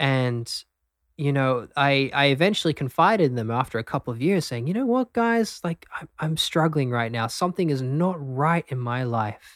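This man has an Australian accent and a fairly high pitch, talking at a moderate pace with lively intonation. The recording is very clean with a silent background and a dry, close sound with no echo. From Australia, Brisbane. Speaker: breathwork teacher. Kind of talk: interview; guided breathing exercise.

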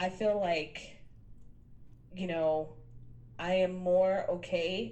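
Audible room echo surrounds a woman with an American accent. She speaks very slowly at a fairly low pitch, with fairly even intonation. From New York City (Queens). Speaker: business coach. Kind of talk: interview conversation.

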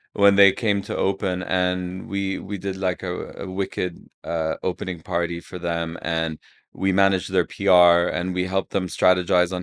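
Speaking with hardly any pauses, a man delivers his words in a monotone, flat intonation at a very deep, low pitch. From Saudi Arabia. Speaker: PR agency co-founder. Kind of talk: casual chat.

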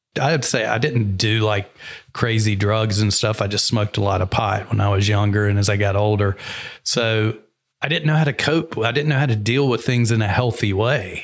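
A man with an American accent speaks fairly quickly in a normal speaking voice at a fairly low pitch, his loudness very even and his pitch varying in an ordinary way. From US South. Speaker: entrepreneur and business coach. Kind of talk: interview conversation.

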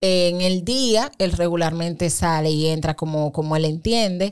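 A woman speaks fairly low and fairly slowly. Her intonation is lively. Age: 30s. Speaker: mother of six, parenting content creator. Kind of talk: casual interview chat. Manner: animated.

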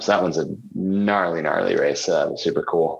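A man with an American accent. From US. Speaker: ultra runner. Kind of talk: casual chat.

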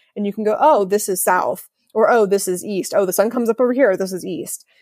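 Someone talks at a very fast pace in an American accent with ordinary pitch variation. The recording is very clean with a silent background. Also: woman. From Ohio, US Midwest. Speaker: feng shui consultant. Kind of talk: interview.

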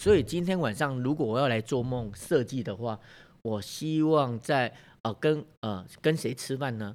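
On a very clean recording with a silent background, a man with a Taiwanese accent speaks at medium pitch and a moderate pace with lively intonation. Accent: Taiwanese Mandarin. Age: 50s. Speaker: bank manager and career coach. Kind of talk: interview. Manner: hesitant with fillers.

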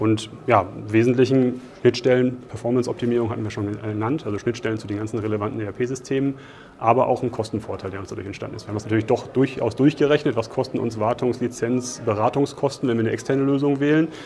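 At a very fast pace, a man delivers his words with fairly even intonation. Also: medium pitch for a man. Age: 30s. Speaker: engineer in cost controlling. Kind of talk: interview. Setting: conference.

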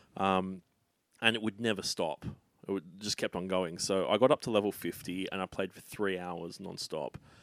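On a very clean recording with a silent background, a man with an Australian accent speaks at a moderate pace in a very deep, low pitch with fairly even intonation. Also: dry, close sound with no echo. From Australia, Sydney (north of Hornsby). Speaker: comedian and travel agent. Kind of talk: casual chat.

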